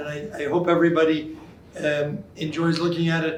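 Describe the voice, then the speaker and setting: The room echo is audible. A man speaks in a fairly high pitch with fairly even intonation. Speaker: museum committee co-chair. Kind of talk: prepared remarks at reception. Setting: indoor event with audience. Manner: loud.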